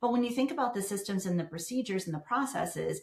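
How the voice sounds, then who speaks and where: With noticeable background noise behind her, a woman talks at a very fast pace in a medium pitch. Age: 60s. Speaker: business founder, professional organizer. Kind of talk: podcast interview.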